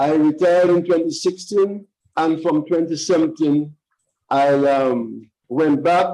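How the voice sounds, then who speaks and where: A man's fairly high-pitched voice with a dark, mellow tone, fairly even intonation, and a very slow pace. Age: 60s. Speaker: credit union president. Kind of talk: interview. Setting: live stream. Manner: formal.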